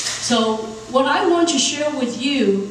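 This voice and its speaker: A loud woman's voice with ordinary pitch variation, audible room echo and noticeable background noise. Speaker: corporate executive, panelist. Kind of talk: panel talk. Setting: conference stage with audience. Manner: animated.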